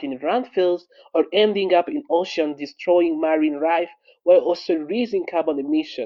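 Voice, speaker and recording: This man speaks at a moderate pace with a high pitch. His intonation is lively. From Rwanda. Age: 20s. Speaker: entrepreneur and climate activist. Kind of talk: prepared statement.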